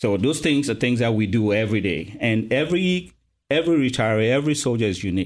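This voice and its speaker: On a very clean recording with a silent background, a man speaks very fast with lively intonation and very even loudness. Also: medium pitch for a man. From Cameroon. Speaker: army retirement services officer, military veteran. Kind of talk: casual interview.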